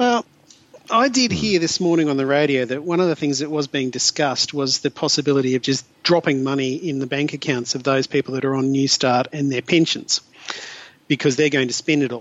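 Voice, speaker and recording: With an Australian accent, a man speaks at a fairly quick pace and fairly high pitch with ordinary pitch variation. Noticeable background noise is present. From regional Queensland, Australia. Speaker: podcast co-host. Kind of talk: casual panel discussion. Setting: video call.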